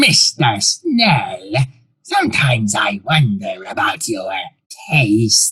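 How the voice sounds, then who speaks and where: A man speaks in a put-on character voice with a fairly high pitch. His pace is very slow. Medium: audio drama. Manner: suave, quietly menacing.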